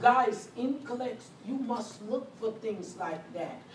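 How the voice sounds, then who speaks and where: Noticeable background noise sits behind a woman speaking at a very slow pace in a high pitch with ordinary pitch variation. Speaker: nursing instructor. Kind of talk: lecture. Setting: classroom recording. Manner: animated.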